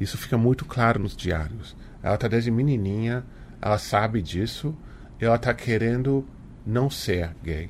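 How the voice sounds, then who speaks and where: A man with a medium pitch and ordinary pitch variation leaves long, frequent pauses as he speaks. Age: 40s. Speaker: author. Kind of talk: interview.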